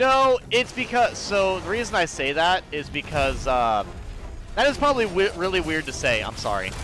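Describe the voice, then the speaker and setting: Over music in the background, a man with an American accent speaks at a moderate pace in a high voice that makes very wide pitch swings. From US South, Georgia (city). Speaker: gaming streamer. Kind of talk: casual chat while gaming. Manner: halting, many fillers.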